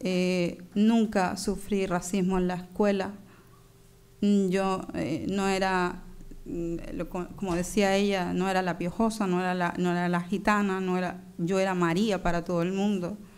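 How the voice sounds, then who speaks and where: A woman's medium-pitched, monotone voice with flat intonation, at a fairly slow pace, with audible room echo. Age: 30s. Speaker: conference speaker, doctoral researcher. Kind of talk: conference talk. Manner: halting, many fillers.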